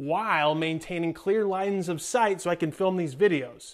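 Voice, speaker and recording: Moderate-paced male speech over quiet surroundings. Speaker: fitness channel host. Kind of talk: casual vlog chat. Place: gym. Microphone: lapel.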